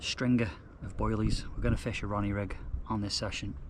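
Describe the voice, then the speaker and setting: Quietly and with ordinary pitch variation, a man speaks at a fairly low pitch while room echo is audible. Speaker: carp fishing vlogger. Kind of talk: casual vlog narration. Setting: outdoors at lake. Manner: quiet, lowered voice.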